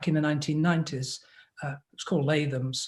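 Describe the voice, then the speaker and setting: A man speaks with an English accent. His pitch is fairly high. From England. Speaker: business advisor. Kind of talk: interview.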